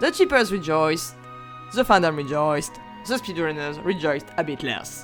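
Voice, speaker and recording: A woman with a non-native accent, very deep and low in pitch, with very wide pitch swings, a moderate pace and music in the background. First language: not English. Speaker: history student. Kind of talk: video essay narration. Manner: stuttering.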